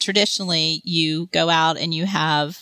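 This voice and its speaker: This woman speaks with a Texan accent in a bright, sharp tone. The sound is dry and close, with no echo. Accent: Texan American. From Texas. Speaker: career coach. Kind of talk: interview.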